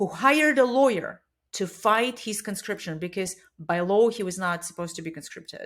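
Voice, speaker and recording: A woman with a Russian accent speaks at a moderate pace and medium pitch, her intonation lively. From Russia (Siberia). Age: 40s. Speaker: bike shop owner. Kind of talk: interview conversation.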